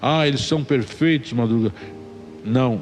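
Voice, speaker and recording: Over music in the background, a man speaks at medium pitch and a moderate pace. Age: 60s. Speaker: church ministry leader. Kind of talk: testimony. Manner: frequent filler 'né'.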